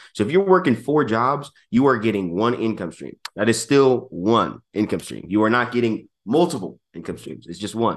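A man with a plain, everyday voice talks at a moderate pace and a medium pitch, with lively intonation and hardly any pauses. The background is quiet. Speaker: podcast host and business consultant. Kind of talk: casual podcast chat, business talk. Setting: video podcast recording.

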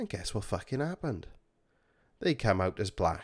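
A man talks at a moderate pace with an English accent. The recording is very clean, with a silent background. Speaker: podcast host and vape shop worker. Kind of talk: casual storytelling monologue. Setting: home recording on a squeaky chair.

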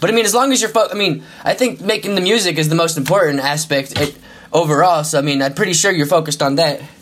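Talking very fast in a high-pitched voice, a man keeps his loudness very even over noticeable background noise. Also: lively intonation. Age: 20s. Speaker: podcast host. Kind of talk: casual interview chat. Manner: casual, friendly.

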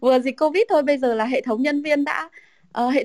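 A woman with a high pitch and lively intonation is heard in a dry, close sound with no echo. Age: 30s. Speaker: customer experience manager. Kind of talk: casual panel discussion.

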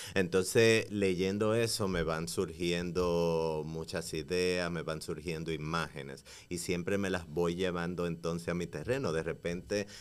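Fairly even in intonation, the delivery proceeds at a fairly slow pace. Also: man, very deep, low pitch for a man. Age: 30s. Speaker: playwright, actor and dancer. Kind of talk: casual interview.

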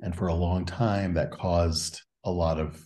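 A man speaks at a fairly slow pace in a very deep, low pitch, his intonation fairly even. His voice is somewhat breathy, with a dark, mellow tone. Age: 50s. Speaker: podcast host. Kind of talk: interview.

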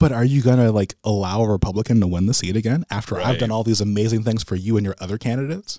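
A man's very fast, fairly low voice with a dark, mellow tone and ordinary pitch variation, dry and close with no echo, on a very clean recording with a silent background. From Michigan (Pontiac). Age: 20s. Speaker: city council member. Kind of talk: casual chat.

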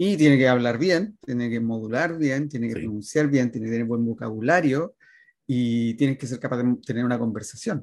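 A man's ordinary speaking voice, medium in pitch, at a fairly quick pace with ordinary pitch variation. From Chile, Viña del Mar area. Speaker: emigrant, designer and youtuber. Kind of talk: interview.

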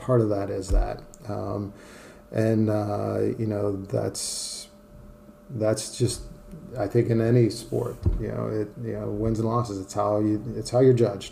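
A man with an American accent speaks fairly slowly, with long, frequent pauses. Audible room echo and noticeable background noise surround him. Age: 50s. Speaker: college soccer coach. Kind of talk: interview. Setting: in-person in his office.

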